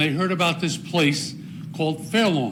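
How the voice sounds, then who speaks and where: A man with an American accent and a high voice speaks amid noticeable background noise. There is audible echo in the room. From northern New Jersey. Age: 80s+. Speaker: veteran speaking at council meeting. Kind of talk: public comment speech. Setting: council meeting chamber.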